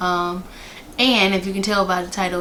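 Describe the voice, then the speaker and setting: The speech moves at a moderate pace in monotone, flat intonation, with noticeable background noise. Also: woman. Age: 20s. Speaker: flight attendant. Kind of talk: casual talk to camera.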